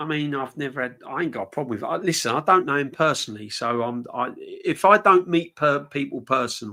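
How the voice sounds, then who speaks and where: Here a man with a London accent speaks in a bright, sharp tone at a fairly high pitch. His pace is moderate and his pitch variation ordinary. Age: 50s. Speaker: football fan channel host. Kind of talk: casual live-stream chat. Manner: conversational, rambling.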